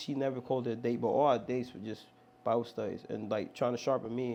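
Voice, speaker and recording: This man has an American accent, a dark, mellow tone and a medium pitch. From Long Island, New York. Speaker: worship pastor. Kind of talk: testimony. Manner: casual, animated; loud, rowdy when riled up.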